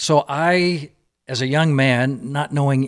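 A man with an American accent and a medium pitch, on a very clean recording with a silent background. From US South, Georgia. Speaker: novelist and former missionary. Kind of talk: podcast interview, storytelling.

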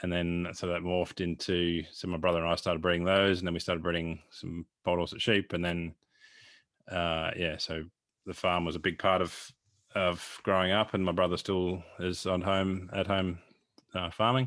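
Over a quiet background, a man with an Australian accent speaks at a moderate pace in a very deep, low voice with monotone, flat intonation. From Australia, northwest Victoria. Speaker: sheep genetics consultant and podcast host. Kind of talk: casual interview conversation.

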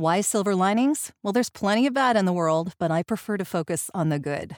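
An unremarkable speaking voice with lively intonation at a fairly quick pace, dry, close sound with no echo, and a very clean recording with a silent background. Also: woman. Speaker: podcast host and voice actor. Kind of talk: casual interview chat.

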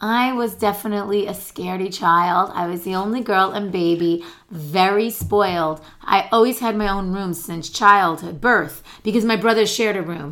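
A woman's normal speaking voice, pitched in the middle of her range, at a moderate pace. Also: ordinary pitch variation. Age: 50s. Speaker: podcast co-host. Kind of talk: casual chat.

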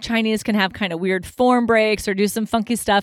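A woman at a moderate pace, in a very clean recording with a silent background and a dry, close sound with no echo. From United States. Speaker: retired Olympic diver. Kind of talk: interview.

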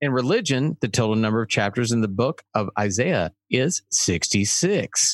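A man speaks at medium pitch in a normal speaking voice, with lively intonation and a moderate pace. The sound is dry and close with no echo, the loudness very even and pauses hardly present. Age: 50s. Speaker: podcast co-host, musician. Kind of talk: casual chat. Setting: remote home studio.

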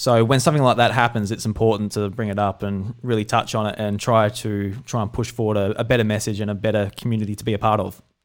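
A very clean recording with a silent background. The delivery is monotone and flat, rushing at a very fast pace with hardly any pauses. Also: man. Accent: Australian. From South Australia. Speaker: podcast host.

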